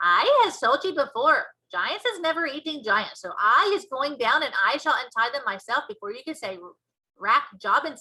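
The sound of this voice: A woman uses a put-on character voice, high-pitched and bright and sharp with a slightly husky edge. Her pitch swings widely as she goes at a moderate pace.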